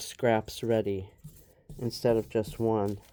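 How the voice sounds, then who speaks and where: A woman's very deep, low-pitched voice, dark and mellow in tone, at a fairly slow pace. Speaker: collage artist. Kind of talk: tutorial. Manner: casual.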